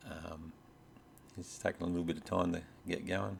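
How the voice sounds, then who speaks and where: A man with an Australian accent speaks at a very deep, low pitch. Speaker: robot hobbyist YouTuber. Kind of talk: tutorial. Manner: hesitant, many fillers. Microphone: USB microphone plugged into laptop.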